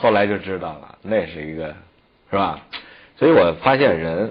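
At a moderate pace, a man uses a normal speaking voice, fairly low in pitch, with lively intonation. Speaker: traditional Chinese medicine teacher. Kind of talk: educational TV talk.

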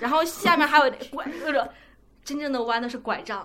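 A woman talks at a fairly quick pace in a high-pitched voice. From China. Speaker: podcast co-host. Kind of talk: casual chat.

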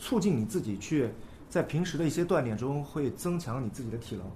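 The voice moves through very wide pitch swings at a fairly quick pace, with audible room echo. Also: man. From China, Nanjing. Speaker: skateboarder. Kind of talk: casual chat.

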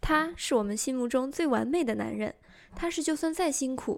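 Over a silent background on a very clean recording, a woman talks with high pitch and lively intonation. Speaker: fan radio host. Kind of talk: scripted narration.

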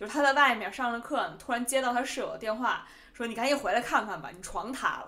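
Speaking at a very fast pace with a strong Beijing accent, a woman talks in a high pitch with ordinary pitch variation and big swings in loudness. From Beijing, China. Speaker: podcast host. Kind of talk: casual solo podcast talk.

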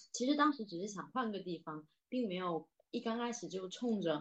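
In a Southern Min accent, a woman talks at a moderate pace with lively intonation. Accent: noticeable Southern Min accent in Mandarin. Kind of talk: casual conversation, podcast discussion.

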